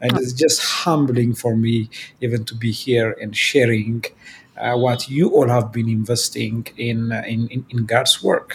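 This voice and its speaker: Someone speaks with an Ethiopian accent at a fairly slow pace amid noticeable background noise. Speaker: digital ministry director. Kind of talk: casual interview.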